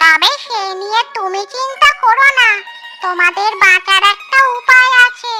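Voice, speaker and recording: Squeaky and extremely high, a cartoonish character voice talks at a fairly slow pace. Music plays in the background. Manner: calm, knowing, advisory.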